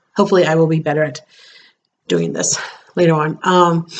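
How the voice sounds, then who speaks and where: A woman at a very fast pace, fairly low in pitch, with vocal fry and fairly even intonation. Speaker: vlogger. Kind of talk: casual vlog monologue. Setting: home, recording on computer. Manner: rambling with many ums.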